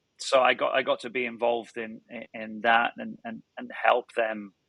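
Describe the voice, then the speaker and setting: The sound is dry and close, with no echo, as a man speaks at a moderate pace. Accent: British. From northern England. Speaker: tech startup founder and CEO. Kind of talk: podcast interview. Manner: halting, many repeated words.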